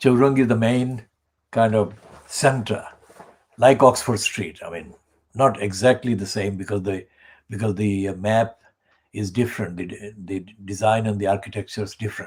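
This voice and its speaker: This man has a fairly low, somewhat breathy voice with fairly even intonation, speaking at a moderate pace with long, frequent pauses. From Bangladesh. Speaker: community campaign organizer and channel presenter. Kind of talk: solo political monologue.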